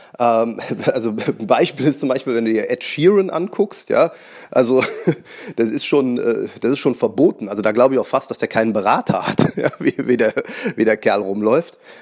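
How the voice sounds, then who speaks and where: A man's medium pitch and lively intonation at a moderate pace, with noticeable background noise. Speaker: magician and podcast host. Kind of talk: solo podcast monologue. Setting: at home on the couch.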